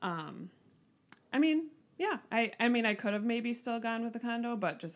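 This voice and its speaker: A woman with a Minnesota accent at a fairly quick pace. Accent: Upper Midwest (Minnesota) American. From Minnesota, Twin Cities suburbs. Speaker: teacher. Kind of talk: casual interview.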